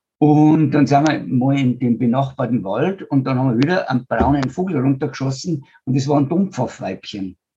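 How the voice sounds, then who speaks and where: Over music in the background, a man with a fairly high pitch talks at a moderate pace with hardly any pauses, very even loudness and ordinary pitch variation. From rural German-speaking region (village). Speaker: biogas entrepreneur and NGO founder. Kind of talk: interview.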